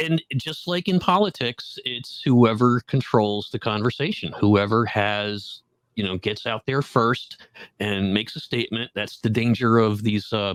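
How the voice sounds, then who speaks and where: A man with an unremarkable speaking voice talks at a medium pitch and moderate pace, his intonation lively. The very clean recording has a silent background and a dry, close sound with no echo. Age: 60s. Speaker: horticulture expert and garden consultant. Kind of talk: podcast interview.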